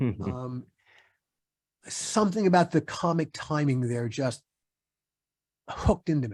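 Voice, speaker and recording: A fairly slow pace with long, frequent pauses. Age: 60s. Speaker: TV writer and producer. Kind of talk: interview.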